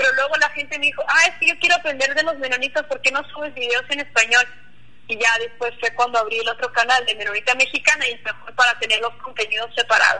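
Raised and projected, a woman's high voice races along at a very fast pace with ordinary pitch variation over noticeable background noise. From Mennonite community near Cuauhtémoc, Chihuahua, Mexico. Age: 20s. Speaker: Mennonite YouTuber. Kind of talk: interview.

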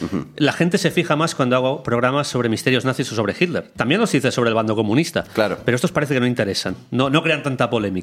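A man at a very fast pace and medium pitch, with lively intonation, very even loudness, and hardly any pauses. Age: 40s. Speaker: researcher and podcaster. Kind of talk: casual chat.

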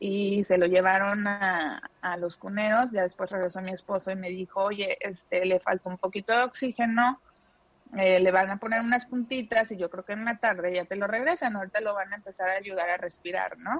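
Speaking at a moderate pace, a woman has an ordinary speaking voice of medium pitch. Her intonation is fairly even. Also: dry, close sound with no echo. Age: 30s. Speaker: mother of a sick child. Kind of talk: testimony.

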